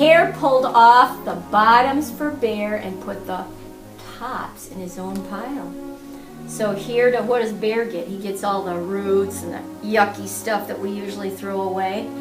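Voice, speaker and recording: Over music in the background, a woman talks at a fairly slow pace, her loudness swinging widely. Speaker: retired reading teacher. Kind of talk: children's read-aloud.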